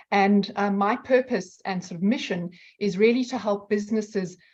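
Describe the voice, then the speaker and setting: This woman has a slight South African accent and a somewhat breathy voice. Her pitch varies in an ordinary way. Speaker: outsourcing company representative. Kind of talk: online presentation. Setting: video call.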